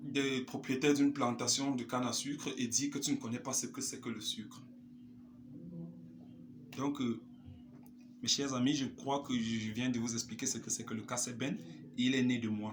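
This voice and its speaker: Vocal fry from a man at a medium pitch, with ordinary pitch variation, a fairly slow pace and long, frequent pauses. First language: a Cameroonian local language (speaking French). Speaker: musician. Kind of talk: vlog monologue.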